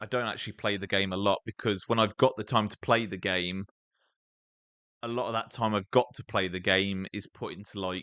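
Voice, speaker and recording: In a British accent, a man with a fairly low pitch speaks at a fairly quick pace with monotone, flat intonation. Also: big swings in loudness. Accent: noticeable British. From England. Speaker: gaming streamer. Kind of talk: live gameplay stream chat. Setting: live stream. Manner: casual, conversational.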